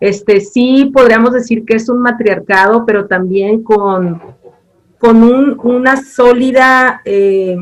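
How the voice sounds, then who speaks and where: A woman speaks very slowly at a fairly high pitch, her intonation fairly even. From Mazatlán, Sinaloa, Mexico. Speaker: university program director. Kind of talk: interview.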